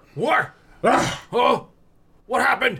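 A put-on character voice at a fairly high pitch. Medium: actual play. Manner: zealous, defiant.

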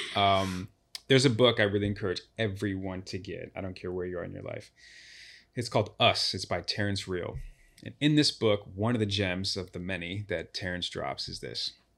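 A man with an American accent has an unremarkable speaking voice, fairly low in pitch, at a moderate pace. His pitch variation is ordinary, his loudness swings widely, and the recording is very clean, with a silent background. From Chicago. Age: 30s. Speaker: relationship speaker. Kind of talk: casual interview chat. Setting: studio.

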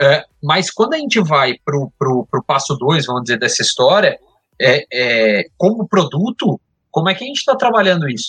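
The man's high pitch moves through very wide swings. He keeps a moderate pace in a dry, close sound with no echo. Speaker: sports marketing media executive. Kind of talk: casual chat.

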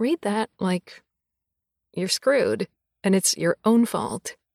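Speaking at a moderate pace, a woman talks. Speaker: audiobook narrator. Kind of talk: recorded answers to listener questions.

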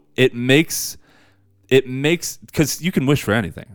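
On a very clean recording with a silent background, a man at medium pitch speaks in an animated tone with vocal fry. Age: 30s. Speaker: horror movie podcast co-host. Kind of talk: casual chat.

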